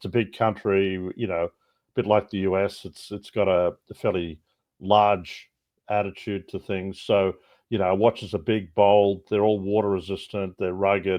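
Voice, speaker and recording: A man with an Australian accent at a fairly low pitch, in a monotone, flat intonation, at a moderate pace. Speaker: watch brand co-founder. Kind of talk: podcast interview.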